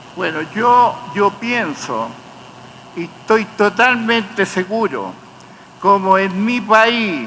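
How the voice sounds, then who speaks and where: A man's raised, projected voice, high in pitch with ordinary pitch variation, over noticeable background noise. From Chile. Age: 80s+. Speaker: torture survivor, witness. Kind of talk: court testimony. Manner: halting.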